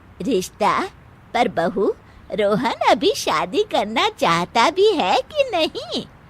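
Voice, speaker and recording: In a cartoonish character voice, the speaker goes at a very slow pace with very wide pitch swings and very even loudness. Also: woman, high pitch for a woman. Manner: gentle, motherly.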